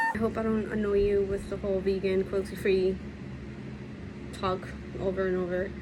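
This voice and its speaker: A woman whispers with audible room echo. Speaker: beauty vlogger. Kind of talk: tutorial. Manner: whispering; casual.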